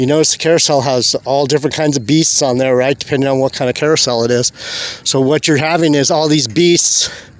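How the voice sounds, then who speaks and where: Over noticeable background noise, a man speaks with a fairly high pitch and fairly even intonation. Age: 60s. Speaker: religious video blogger. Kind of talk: casual monologue vlog. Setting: outdoors on a beach. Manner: halting.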